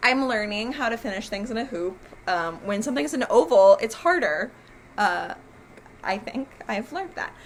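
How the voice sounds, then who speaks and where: A woman's speech with very wide pitch swings and long, frequent pauses. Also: fairly high pitch for a woman. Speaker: crafting video host. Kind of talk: casual chat. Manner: fast; hesitant, many fillers.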